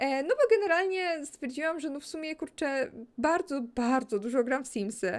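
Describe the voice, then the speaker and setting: The speaker, a woman, has a high pitch. She talks at a moderate pace. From Poland, Kraków area. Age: 20s. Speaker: gaming YouTuber. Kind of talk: casual Q&A chat over gameplay. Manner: calm, relaxed.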